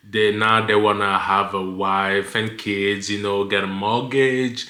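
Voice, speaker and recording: A man with a non-native accent speaks very slowly at a fairly low pitch. Audible room echo is present. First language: not English. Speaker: lifestyle vlogger. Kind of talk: casual vlog monologue. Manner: stutters; halting, many fillers.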